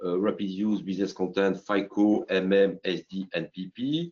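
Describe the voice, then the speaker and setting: A man talks with a strong French accent and a fairly low pitch. His pace is fairly slow. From France. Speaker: company CEO presenting software. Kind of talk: business webinar presentation. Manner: halting with many fillers.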